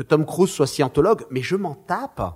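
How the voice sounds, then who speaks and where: Speaking in an animated tone, a man uses lively intonation at a fairly high pitch. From France, Marseille. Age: 50s. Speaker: screenwriter and film director. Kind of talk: interview.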